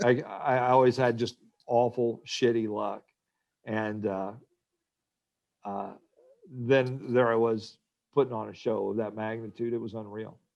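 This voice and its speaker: A man with an American accent, monotone and flat, fairly slow pace, long and frequent pauses, big swings in loudness. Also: medium pitch for a man. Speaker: radio host and station manager. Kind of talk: casual interview.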